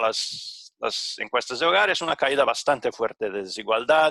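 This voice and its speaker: A man with a Portuguese accent, bright, sharp tone and lively intonation, at a moderate pace, the sound dry and close with no echo. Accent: Portuguese-accented Spanish (portuñol). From Brazil. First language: Portuguese (speaking Spanish). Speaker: economist / panel presenter. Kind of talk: conference presentation. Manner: halting, many fillers.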